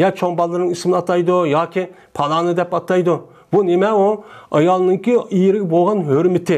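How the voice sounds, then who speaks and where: A man's high-pitched voice at a moderate pace, with fairly even intonation, very even loudness and a quiet background. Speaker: Islamic teacher. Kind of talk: lecture. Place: home room. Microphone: lapel.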